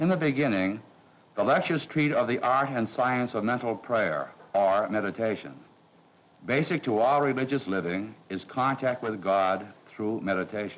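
Lively intonation runs through a normal speaking voice at a moderate pace. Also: man, medium pitch for a man. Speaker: priest, master of novices. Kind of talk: formal explanation in a documentary. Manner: formal.

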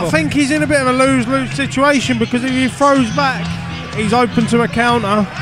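Speech runs at a fairly quick pace with hardly any pauses. Clear music plays in the background, and the sound is dry with no echo. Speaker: boxing commentator. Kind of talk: live boxing commentary. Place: hall.

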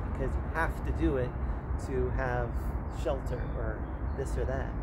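A man speaks at a moderate pace while loud background noise fills the recording. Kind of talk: casual conversation. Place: garden.

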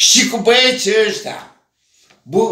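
In a raised, projected voice, a man speaks at a very slow pace amid audible room echo. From Romania, Brăila; Romania. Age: 80s+. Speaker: writer. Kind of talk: casual monologue to camera. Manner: animated. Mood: warm, joking. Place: home room. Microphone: camera far.

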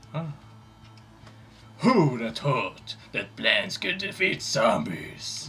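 Over clear background noise, a man in a put-on character voice with fairly high pitch speaks at a very slow pace, leaving long, frequent pauses. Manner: badass, gruff.

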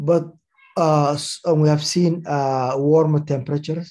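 Over a quiet background, a somewhat breathy man with a dark, mellow tone speaks at a fairly slow pace. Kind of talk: formal address. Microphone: video call.

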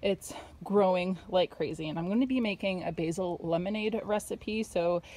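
A woman's dark, mellow tone at a moderate pace, with ordinary pitch variation and a dry sound with no echo. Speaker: home gardener vlogger. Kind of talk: casual vlog chat. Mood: cheerful, relaxed. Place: garden. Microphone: phone near.

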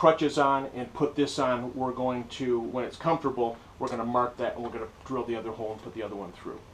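Very fast speech from a man, fairly even intonation, light background noise. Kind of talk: tutorial. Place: workshop. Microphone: camera far.

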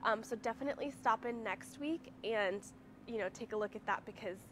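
A woman speaks with fairly even intonation. There is light background noise. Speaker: presenter. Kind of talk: casual store tour announcements. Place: shop. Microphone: camera far.

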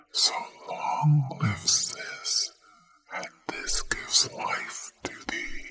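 Someone whispers at a very slow pace. Music plays in the background. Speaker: ASMR creator. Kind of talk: poetry reading. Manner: whispered; relaxing, soft. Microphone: studio mic.

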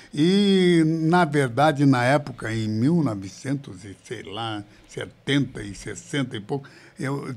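Here a man talks at a very slow pace. His voice is medium-pitched, with ordinary pitch variation. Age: 70s. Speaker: pastor. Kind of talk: interview testimony. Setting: live video podcast. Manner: halting, repeats words. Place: studio. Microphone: studio mic.

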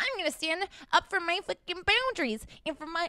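Someone puts on a squeaky character voice with an extremely high pitch, speaking at a fairly quick pace. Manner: mockingly assertive.

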